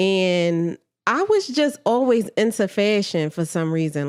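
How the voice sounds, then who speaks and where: A woman's medium-pitched voice carries lively intonation in a very clean recording with a silent background. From Philadelphia, North Philly. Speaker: clothing line founder. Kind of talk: casual interview chat.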